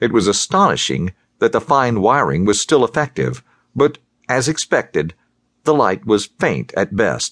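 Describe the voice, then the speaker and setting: Vocal fry colors a man's voice as he talks at a moderate pace. The background is quiet. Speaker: audiobook narrator. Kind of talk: literary audiobook reading, scripted thriller narration. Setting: studio. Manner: steady, measured storyteller pace; shifts to tense, urgent delivery in action and dialogue.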